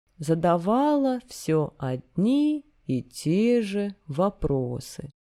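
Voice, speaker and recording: The voice has a dark, mellow tone and moves at a very slow pace. Its pitch swings very widely. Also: woman. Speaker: narrator reading literature. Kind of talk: reading aloud.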